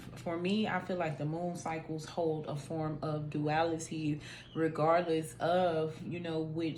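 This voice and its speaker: Monotone and flat, a woman's very deep, low voice moves at a fairly slow pace. The room echo is audible. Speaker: tarot reader. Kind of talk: tarot reading. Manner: casual.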